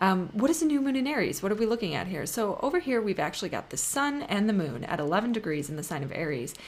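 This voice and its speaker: Over noticeable background noise, a woman at medium pitch talks very fast with hardly any pauses and very wide pitch swings. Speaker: astrologer. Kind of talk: astrology forecast video.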